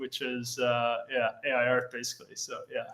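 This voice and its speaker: At a moderate pace, a man talks with an Irish accent. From Ireland. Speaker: AI art community founder. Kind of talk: casual interview. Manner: halting, many fillers.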